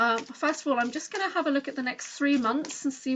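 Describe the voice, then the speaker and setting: A woman's high-pitched voice with ordinary pitch variation and noticeable background noise. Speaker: oracle card reader. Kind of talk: card reading session. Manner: fast.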